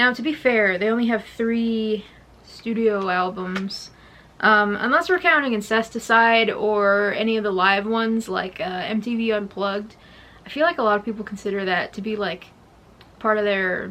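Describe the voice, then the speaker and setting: A woman speaks quietly at a moderate pace, her fairly high voice bright and sharp in tone, with ordinary pitch variation. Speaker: music vlogger. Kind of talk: casual vlog monologue. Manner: hesitant, many fillers; trying to speak quietly.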